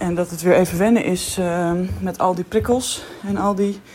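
A woman speaks at a medium speed while noticeable noise fills the background. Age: 20s. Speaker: primary school teacher. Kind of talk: audio diary.

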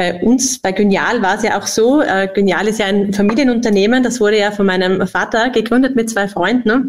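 With an unremarkable speaking voice, a woman talks at a fairly high pitch, keeping her loudness very even and her intonation fairly even, with hardly any pauses. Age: 40s. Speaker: company executive. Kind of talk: podcast interview.

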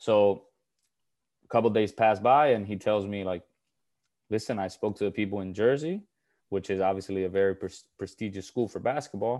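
With a Puerto Rican accent, a man talks fairly quickly in a fairly low pitch and dark, mellow tone, his intonation fairly even, with long, frequent pauses over a quiet background. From Puerto Rico. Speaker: former college basketball player. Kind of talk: casual interview.

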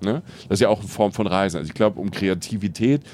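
A man with a fairly low pitch and a normal speaking voice, using lively intonation at a fairly quick pace. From southern Palatinate, Germany. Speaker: travel podcaster, journalist. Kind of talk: casual interview. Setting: on a train.

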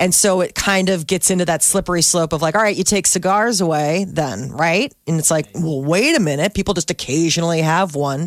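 A woman with a normal speaking voice talks fairly quickly at a fairly low pitch, hardly pausing and keeping her loudness very even. Her pitch varies in an ordinary way, and the recording is very clean with a silent background. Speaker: radio morning show host. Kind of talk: radio talk show banter. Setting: radio studio.

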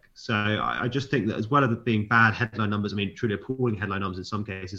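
A man talks at a very fast pace. His voice is fairly low in pitch, with a bright, sharp tone. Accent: British. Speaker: news editor. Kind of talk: casual chat. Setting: remote recording.

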